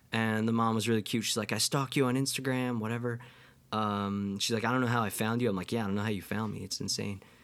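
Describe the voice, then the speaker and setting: A man talks at a very fast pace with monotone, flat intonation. His pitch sits in the medium range. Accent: New York State. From US Northeast, Catskills, New York. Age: 20s. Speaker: podcast host and musician. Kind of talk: casual monologue. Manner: halting, many fillers.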